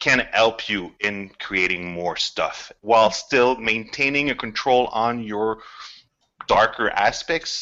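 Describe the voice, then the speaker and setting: At a very slow pace, a man speaks at a medium pitch. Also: ordinary pitch variation. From Quebec. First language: French. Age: 40s. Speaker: video game scriptwriter. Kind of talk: casual chat. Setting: video call.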